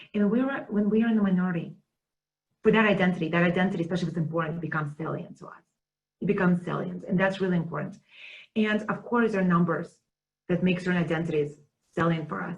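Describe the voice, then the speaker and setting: A woman speaks at a very fast pace, broken by long, frequent pauses. Her voice is somewhat breathy, with ordinary pitch variation and big swings in loudness. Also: medium pitch for a woman. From Russia. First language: Russian. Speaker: teaching center director. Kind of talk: webinar conversation. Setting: video webinar.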